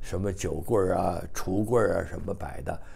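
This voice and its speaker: A man speaking at a very slow pace. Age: 80s+. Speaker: retired engineer, son of a general. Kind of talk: oral history interview. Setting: seniors' apartment. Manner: halting with many fillers. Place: home room. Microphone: lapel.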